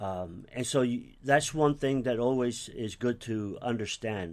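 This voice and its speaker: A man with an American accent and a plain, everyday voice, medium pitch, ordinary pitch variation and a fairly slow pace. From US (raised from age 5, Cuban-born). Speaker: pastor. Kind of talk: interview.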